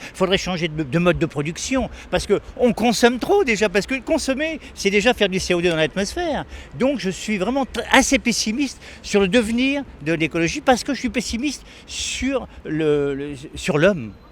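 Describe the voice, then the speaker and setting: This man's voice is high pitched, with very wide pitch swings. He talks at a moderate pace. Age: 80s+. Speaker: retired teacher interviewed in street. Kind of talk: street interview. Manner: halting, many repetitions.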